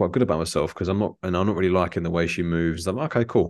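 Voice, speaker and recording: A man speaks very fast in a very deep, low voice. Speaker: life and mindset coach. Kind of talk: casual interview chat.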